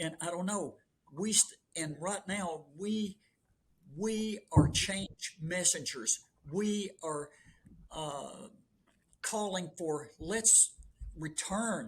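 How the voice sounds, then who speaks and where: A man with a Southern US accent and a high pitch speaks at a very slow pace. He leaves long, frequent pauses, with ordinary pitch variation. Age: 70s. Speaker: long-distance runner. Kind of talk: casual chat. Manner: animated.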